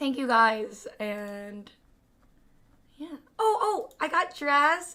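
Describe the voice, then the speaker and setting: Raising and projecting her voice, a woman speaks very slowly with a bright, sharp tone and high pitch, her pitch swinging very widely and her loudness rising and falling sharply. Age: 20s. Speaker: streamer. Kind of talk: casual chat. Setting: live stream.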